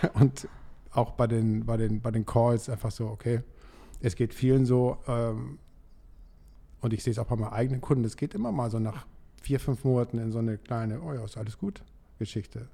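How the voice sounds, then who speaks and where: Over a very clean recording with a silent background, a man with a medium-pitched, somewhat breathy voice and a dark, mellow tone speaks at a fairly quick pace with fairly even intonation and long, frequent pauses. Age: 60s. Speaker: dental lab owner, coaching client. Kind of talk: casual interview. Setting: studio.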